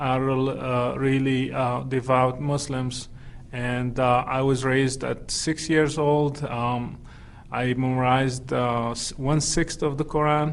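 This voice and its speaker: A man with a Moroccan accent speaks very slowly at a medium pitch. His delivery is monotone and flat, with audible room echo. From Morocco. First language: Moroccan Arabic. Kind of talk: interview testimony. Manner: halting, many fillers.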